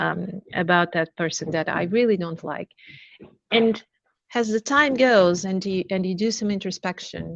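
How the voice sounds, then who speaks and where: A woman speaks with a Portuguese accent. Her pitch sits at a medium level with ordinary variation. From Portugal, Lisbon. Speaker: learning and development director. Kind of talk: webinar interview.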